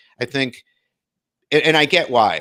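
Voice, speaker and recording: In a very clean recording with a silent background, a man with an American accent is heard in a dry, close sound with no echo. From Detroit, US Midwest. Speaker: video content producer. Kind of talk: interview conversation.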